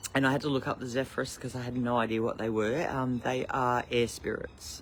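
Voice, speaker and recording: Monotone, flat delivery at a fairly quick pace in an Australian accent. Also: man, medium pitch for a man. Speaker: spiritual teacher livestreamer. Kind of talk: casual live stream. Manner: loud; halting with many fillers.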